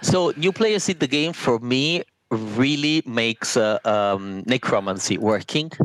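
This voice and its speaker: A man speaks with an Italian accent. His pace is fairly slow and his intonation lively. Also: medium pitch for a man, very even loudness, dry, close sound with no echo. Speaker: board game designer. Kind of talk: interview.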